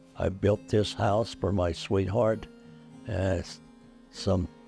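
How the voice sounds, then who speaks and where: Music in the background behind a man's fairly low voice with fairly even intonation. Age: 80s+. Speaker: war veteran; hospice patient. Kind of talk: interview answer. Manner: halting, hesitant.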